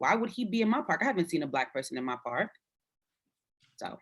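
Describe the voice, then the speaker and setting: Very wide pitch swings mark the speech of a woman with an American accent. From Brooklyn, New York (Fort Greene). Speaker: podcast panelist. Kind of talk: casual discussion. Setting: live video stream.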